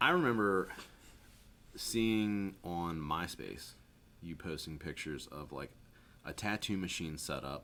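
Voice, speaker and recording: Loud and bright with a sharp tone, a man's very deep, low voice moves at a fairly slow pace with long, frequent pauses. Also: ordinary pitch variation. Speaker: podcast host and tattoo artist. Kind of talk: casual chat. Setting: tattoo shop studio.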